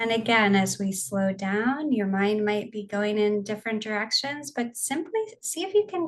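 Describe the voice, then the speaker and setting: Somewhat breathy, a woman speaks at a fairly high pitch and fairly slow pace, with lively intonation. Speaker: counselor. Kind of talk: guided meditation. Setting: video call. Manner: soft-spoken.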